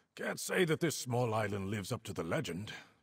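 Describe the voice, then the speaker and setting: A man puts on a character voice, delivering it at a moderate pace. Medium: video game. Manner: warm, easygoing, laughing.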